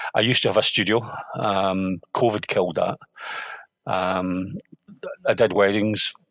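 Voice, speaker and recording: A man talks with a Scottish accent. The sound is dry and close, with no echo. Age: 60s. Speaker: sports photographer. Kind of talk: podcast interview. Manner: halting, many fillers and restarts.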